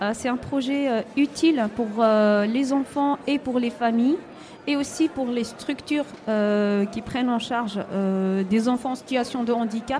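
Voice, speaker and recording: Noticeable background noise sits behind a woman with a high-pitched voice. She talks at a fairly slow pace with fairly even intonation. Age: 40s. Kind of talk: radio interview. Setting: live broadcast at a covered market. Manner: halting.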